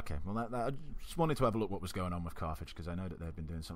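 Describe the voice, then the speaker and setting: Room echo is audible as a man talks in a relaxed tone with lively intonation. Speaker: gaming YouTuber. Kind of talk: let's play commentary. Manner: casual, relaxed; mumbling.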